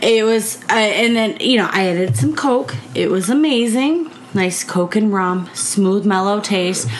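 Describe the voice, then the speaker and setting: With a Midwestern American accent, a woman at a medium pitch speaks at a fairly slow pace with very wide pitch swings, very even loudness and hardly any pauses, amid audible room echo and noticeable background noise. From US Midwest, southeast Michigan. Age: 30s. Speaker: podcast co-host. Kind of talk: casual chat.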